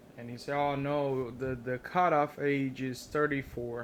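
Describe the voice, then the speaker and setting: Speaking with a non-native accent, a man uses a fairly high pitch and a monotone, flat intonation. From Brazil. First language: Portuguese. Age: 30s. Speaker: vlogger. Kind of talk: casual vlog monologue. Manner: halting, many fillers.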